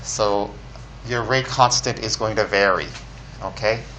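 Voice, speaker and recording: Over noticeable background noise, a man with a fairly low voice speaks at a fairly slow pace with very wide pitch swings. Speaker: chemistry professor. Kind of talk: lecture.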